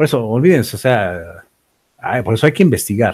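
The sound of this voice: This man has a fairly low pitch and a slightly mellow tone. His voice carries a slightly husky edge.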